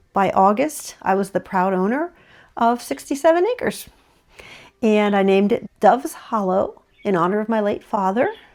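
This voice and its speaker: Lively intonation marks a woman's fairly high voice at a moderate pace. The recording is very clean, with a silent background. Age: 60s. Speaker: animal sanctuary owner and vlogger. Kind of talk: casual personal vlog talk to camera. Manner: conversational with frequent fillers.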